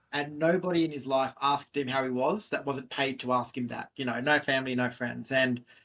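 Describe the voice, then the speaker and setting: This man talks at a fairly quick pace with an Australian accent and hardly any pauses. His medium-pitched voice has a bright, sharp tone. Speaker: fitness entrepreneur. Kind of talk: interview.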